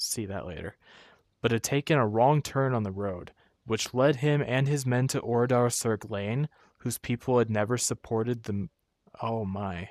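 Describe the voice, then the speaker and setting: A man at a fairly slow pace with ordinary pitch variation, in a very clean recording with a silent background and a dry, close sound with no echo. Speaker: virtual tour video host. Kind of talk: casual commentary while browsing and reading aloud. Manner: subdued, quieter than usual.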